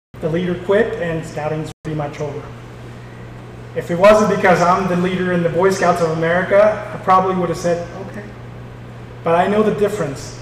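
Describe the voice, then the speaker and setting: A man's high-pitched, very fast voice with fairly even intonation, noticeable background noise and audible room echo. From war-torn country abroad. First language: not English. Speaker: scouting council executive. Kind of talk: town hall speech.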